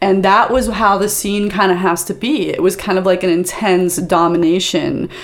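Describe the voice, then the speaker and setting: With noticeable background noise, a woman in an American accent speaks at a moderate pace in a medium pitch, with ordinary pitch variation and hardly any pauses. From US East Coast. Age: 50s. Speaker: adult film performer and comedian. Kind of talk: casual chat. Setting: studio.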